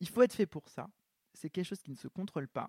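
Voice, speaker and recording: The recording is dry and close with no echo, carrying a man's high voice with very wide pitch swings. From southern France, small village. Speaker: actor and fashion model. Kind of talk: casual interview chat. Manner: halting, many hesitations.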